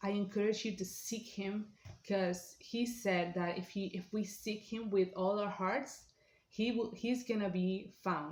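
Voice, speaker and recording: A woman with a non-native accent talks at a fairly slow pace with fairly even intonation. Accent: non-native accent, self-remarked. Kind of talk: personal testimony. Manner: halting, many fillers.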